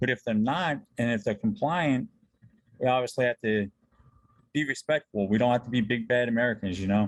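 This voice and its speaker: A man speaks fairly quickly at medium pitch in a normal speaking voice, with ordinary pitch variation and very even loudness. The sound is dry and close, with no echo. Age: 40s. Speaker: podcast host. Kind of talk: interview. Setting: video call.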